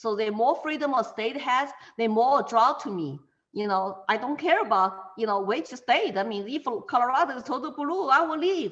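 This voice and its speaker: A woman with a Chinese accent speaks at a moderate pace, her high pitch making very wide swings. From China. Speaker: political candidate, interviewee. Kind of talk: interview conversation. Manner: halting, many fillers.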